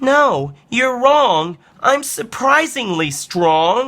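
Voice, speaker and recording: In a put-on character voice, a man speaks at a very slow pace with an extremely high pitch and very wide pitch swings. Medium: read story. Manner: gentle, friendly.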